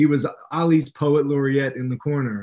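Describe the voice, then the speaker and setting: A man speaks at a moderate pace with a fairly high pitch. His pitch varies in an ordinary way, in a plain, everyday voice. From West Virginia. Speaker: author and English professor. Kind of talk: interview.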